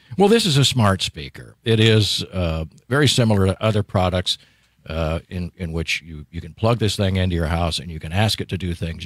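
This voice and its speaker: The background is quiet and the sound is dry with no echo. Delivery moves at a moderate pace with ordinary pitch variation. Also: man. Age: old. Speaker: radio host. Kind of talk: radio interview. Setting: radio studio. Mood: friendly, light joking. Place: studio. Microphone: studio mic.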